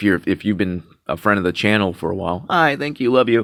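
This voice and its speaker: This man's voice sits fairly low in pitch. His intonation is lively. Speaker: vlogger. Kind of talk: casual monologue. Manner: halting, many fillers and repeats; sounds sarcastic.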